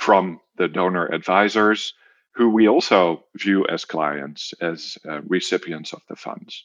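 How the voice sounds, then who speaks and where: A man speaks with a Dutch accent and ordinary pitch variation. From Netherlands. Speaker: social finance CEO. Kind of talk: interview.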